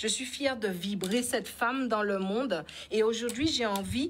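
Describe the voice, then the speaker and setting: Somewhat breathy and fairly high in pitch, a woman speaks at a fairly slow pace. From French Antilles (Guadeloupe). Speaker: spiritual coach and speaker. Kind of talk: interview.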